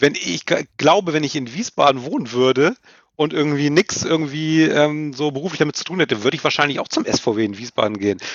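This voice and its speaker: A man uses an unremarkable speaking voice, fairly high in pitch, with lively intonation and a fairly quick pace. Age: 30s. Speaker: football commentator and journalist. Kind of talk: casual interview chat.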